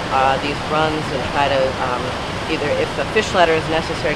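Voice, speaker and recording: A woman talks at a fairly quick pace. Loud background noise comes through, and the sound is dry with no echo. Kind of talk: interview answer. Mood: informative, relaxed. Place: waterside.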